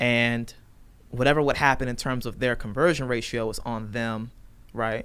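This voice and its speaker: A man speaks at a moderate pace with a bright, sharp tone and a medium pitch. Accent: American. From Virginia, US. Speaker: real estate agent. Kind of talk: casual chat. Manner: animated.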